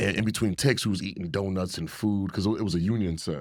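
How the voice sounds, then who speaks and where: A man's very deep, low voice at a very fast pace, animated in tone with ordinary pitch variation, in a very clean recording with a silent background. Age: 30s. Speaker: actor. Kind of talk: casual chat.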